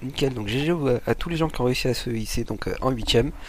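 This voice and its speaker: Music plays behind a man speaking at a fairly quick pace. His pitch is medium, with ordinary variation. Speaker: tournament caster. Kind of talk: live gaming commentary. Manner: casual.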